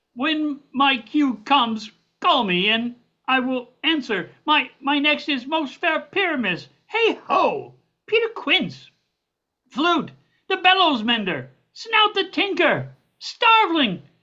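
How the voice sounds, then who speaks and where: A woman performs a put-on character voice, high in pitch with very wide pitch swings, at a fairly slow pace. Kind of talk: amateur stage reading. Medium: stage play. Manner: rambling, self-important.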